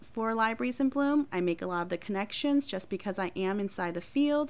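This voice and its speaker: A woman speaks at a moderate pace with lively intonation and a medium pitch, in a plain, everyday voice, recorded very cleanly against a silent background. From Wisconsin (Appleton), Hmong family. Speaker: librarian and podcast host. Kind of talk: casual self-introduction.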